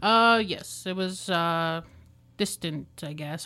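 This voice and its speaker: Heard on a very clean recording with a silent background, an unremarkable speaking voice with a Canadian accent keeps a fairly even intonation. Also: woman. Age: 20s. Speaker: former youth in care, student. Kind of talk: personal testimony in interview. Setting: radio studio.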